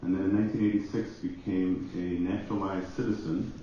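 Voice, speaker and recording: A man's fairly low voice at a fairly quick pace, with noticeable background noise and audible room echo. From Jamaica, Kingston. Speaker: pastor. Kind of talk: conference panel introduction.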